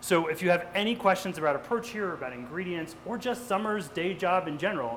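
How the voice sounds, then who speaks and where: Lively intonation and a very fast pace mark this speaker with an American accent, heard over noticeable background noise. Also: man. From New Jersey. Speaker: nonprofit CEO. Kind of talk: cooking demonstration.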